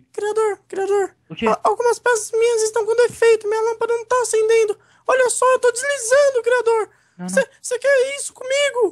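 In a put-on character voice with an extremely high pitch, someone talks at a moderate pace. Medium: machinima. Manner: formal, eager, naive.

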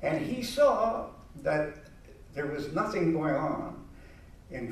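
Audible room echo around a man's voice. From Quebec. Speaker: family acquaintance speaking at event; speaker. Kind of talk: informal commemorative talk. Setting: live event with audience. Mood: warm, reflective. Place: hall. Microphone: podium.

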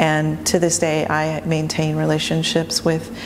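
Someone with an American accent speaks at a fairly slow pace, with light background noise behind them. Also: woman. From Arizona, Tucson; Arizona. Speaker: artist and curator. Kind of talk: interview monologue. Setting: home studio. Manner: hesitant, many fillers. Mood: calm, reflective. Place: workshop.

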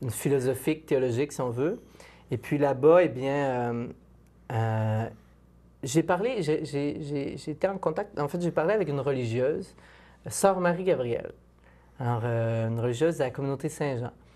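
A man with a fairly high voice and a dark, mellow tone talks at a fairly slow pace, with ordinary pitch variation and long, frequent pauses. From Quebec, Île d'Orléans; Quebec. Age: 20s. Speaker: philosophy doctoral student and speaker; speaker. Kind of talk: testimony. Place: studio.

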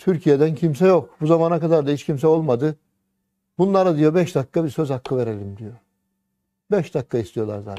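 Against a quiet background, a man's dark, mellow voice carries lively intonation. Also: fairly high pitch for a man, fairly quick pace. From Turkey. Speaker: religious teacher. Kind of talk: sermon. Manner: animated. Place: studio. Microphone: lapel.

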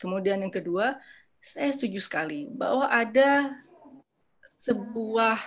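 In an ordinary speaking voice, a woman with a fairly high pitch talks at a fairly slow pace with lively intonation over a quiet background. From Indonesia. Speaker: psychiatrist and former member of parliament; panelist. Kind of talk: lecture with slides. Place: home room. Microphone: webcam.

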